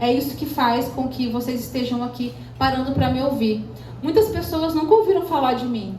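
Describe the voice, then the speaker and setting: Amid noticeable background noise, a woman speaks in an animated tone. Room echo is audible. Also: moderate pace. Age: 30s. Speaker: speaker at entrepreneurs event. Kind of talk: motivational talk.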